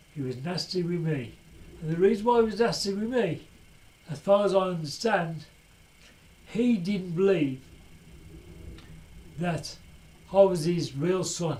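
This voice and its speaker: With audible room echo, a man speaks in a high voice with a dark, mellow tone and ordinary pitch variation, moving at a fairly slow pace with long, frequent pauses. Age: 60s. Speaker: video blogger. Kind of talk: personal testimony. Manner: emotional, agitated.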